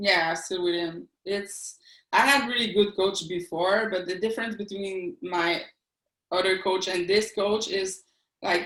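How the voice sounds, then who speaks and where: Speaking fairly slowly with a French Canadian accent, a woman uses a medium pitch and fairly even intonation. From eastern Quebec, Canada. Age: 40s. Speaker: athlete and police officer. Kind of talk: interview. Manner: halting.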